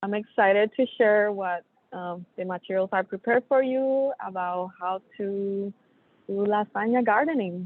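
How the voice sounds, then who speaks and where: A woman with a Puerto Rican accent talks at a fairly slow pace in a medium pitch with ordinary pitch variation. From Puerto Rico. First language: Spanish. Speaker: soil health specialist. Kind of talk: webinar presentation. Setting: remote call from an airport. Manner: hesitant, many fillers.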